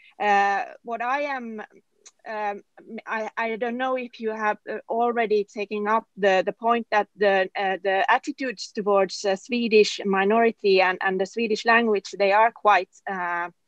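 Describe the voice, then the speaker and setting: The speaker talks at a fairly slow pace with a Finnish accent and fairly even intonation. The sound is dry and close, with no echo. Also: woman, fairly high pitch for a woman. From southern Finland. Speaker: politician. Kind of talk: panel discussion. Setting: webinar. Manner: halting, many fillers.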